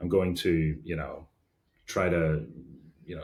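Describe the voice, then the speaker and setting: At a moderate pace, a man with a Derry accent mumbles in a somewhat breathy, very deep, low voice with a dark, mellow tone. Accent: Northern Irish (Derry). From Northern Ireland, Derry. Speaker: engineering executive. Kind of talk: podcast interview. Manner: casual, many fillers.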